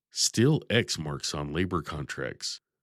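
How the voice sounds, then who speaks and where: The speaker's pitch swings very widely on a very clean recording with a silent background. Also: man. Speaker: podcast host. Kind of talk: podcast episode outro. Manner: sincere, earnest.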